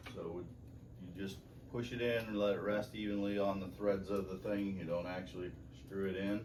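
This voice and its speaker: Moderately paced speech from a man with a fairly low voice and fairly even intonation, with audible room echo. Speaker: mechanic. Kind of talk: tutorial. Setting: garage. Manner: casual.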